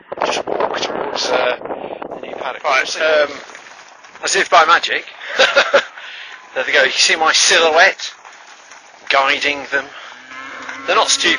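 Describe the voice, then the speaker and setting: A man speaks at a fairly slow pace with a fairly high pitch and ordinary pitch variation. Long, frequent pauses stand out against noticeable background noise. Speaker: dairy farm worker. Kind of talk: casual talk to camera. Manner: mumbling, hesitant, wry.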